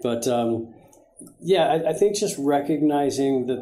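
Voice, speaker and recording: Moderate pace and medium pitch from a male speaker. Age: 60s. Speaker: guest business leader. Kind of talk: interview. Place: studio.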